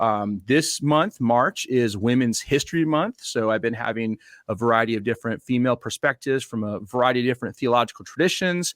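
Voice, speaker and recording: At a fairly quick pace, a man talks in an unremarkable speaking voice at medium pitch with ordinary pitch variation, recorded very cleanly with a silent background and a dry, close sound with no echo. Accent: American. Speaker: podcast host. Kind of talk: interview.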